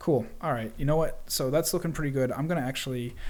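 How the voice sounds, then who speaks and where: Audible room echo is present as a man speaks. His pitch is medium, with ordinary variation. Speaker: 3D software tutorial livestream host. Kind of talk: live software tutorial. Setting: live stream with chat.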